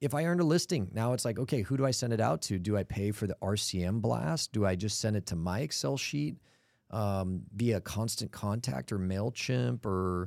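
An American man with a normal speaking voice talks at a moderate pace, his fairly low voice carrying lively intonation. The recording is very clean, with a silent background. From US (Cleveland, Los Angeles, Atlanta). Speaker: commercial real estate firm founder and CEO. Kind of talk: interview conversation. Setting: studio.

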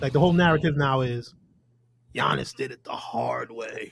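Somewhat breathy and fairly high, a man's voice moves at a fairly quick pace. Pitch variation is ordinary. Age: 40s. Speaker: podcast host. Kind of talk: casual chat.

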